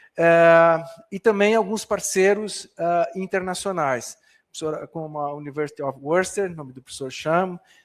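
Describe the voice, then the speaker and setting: A man with a high pitch and ordinary pitch variation speaks at a moderate pace on a very clean recording with a silent background. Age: 60s. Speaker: professor. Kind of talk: lecture. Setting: conference hall with audience, livestreamed. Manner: halting, many fillers and repetitions.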